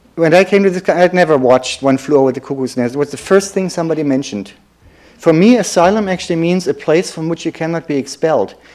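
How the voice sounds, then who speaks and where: A man talks at a very fast pace in a German accent. His pitch is high, with ordinary variation. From Germany. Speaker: lecturer.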